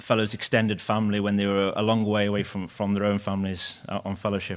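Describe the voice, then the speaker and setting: On a very clean recording with a silent background, a man speaks in a Liverpool accent. His pitch is fairly low. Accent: Liverpool (Scouse) English. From Liverpool, England. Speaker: surgeon, former fellow of the deceased. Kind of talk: eulogy. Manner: fast.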